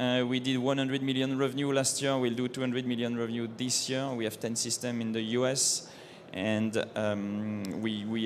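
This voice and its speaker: A man speaks in a French accent with fairly even intonation. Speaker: company co-founder, engineer. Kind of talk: trade show seminar presentation. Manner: halting.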